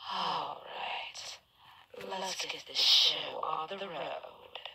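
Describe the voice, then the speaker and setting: Putting on a growling character voice, a woman with a medium pitch speaks at a very slow pace. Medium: read story. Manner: condescending, snarling.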